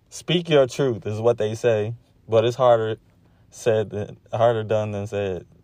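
A man at a fairly slow pace, medium-pitched, with ordinary pitch variation. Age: 30s. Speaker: podcast host. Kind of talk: personal monologue. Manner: halting.

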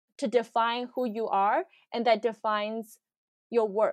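A woman with a Chinese accent speaks at a fairly slow pace against a quiet background. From China, Shanghai. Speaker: product designer. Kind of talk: casual interview. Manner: hesitant, many fillers.

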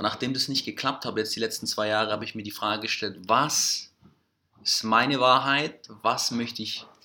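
A bright, sharp tone with fairly even intonation at a moderate pace, in a very clean recording with a silent background. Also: man, medium pitch for a man. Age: 30s. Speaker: entrepreneur. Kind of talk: casual interview conversation. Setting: recorded in Greece.

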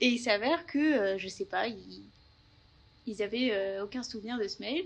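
The speaker is a woman with a fairly high pitch. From Paris region, France. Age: 20s. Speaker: working holiday traveller, engineering graduate. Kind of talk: interview testimony. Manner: hesitant, many fillers.

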